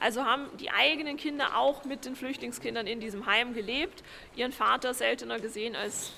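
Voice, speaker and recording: Music plays in the background while a woman speaks at a high pitch. Her pace is fairly quick, with ordinary pitch variation. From Vienna, Austria. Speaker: historian and author. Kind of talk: interview. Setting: on location at a housing estate.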